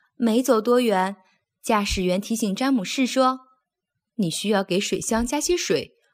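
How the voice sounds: The background is quiet. A natural reading voice carries ordinary pitch variation.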